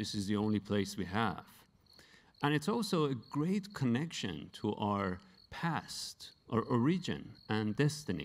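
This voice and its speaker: A man talks with a Persian accent at a very slow pace. His pitch sits at a medium level but swings very widely. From Iran, Tehran. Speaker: science photojournalist; presenter. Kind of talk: award acceptance speech. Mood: earnest, reflective. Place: hall. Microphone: handheld.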